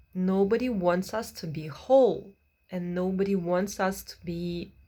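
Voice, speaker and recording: A somewhat breathy woman at a fairly slow pace, on a very clean recording with a silent background. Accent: non-native. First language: not English. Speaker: vlogger. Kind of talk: advice monologue. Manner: halting, many fillers.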